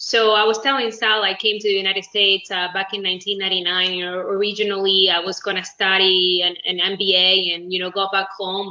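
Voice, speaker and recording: A woman with a Spanish accent talks at a fairly quick pace in a medium pitch, her intonation flat and monotone, with hardly any pauses. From Uruguay. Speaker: business executive. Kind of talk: interview.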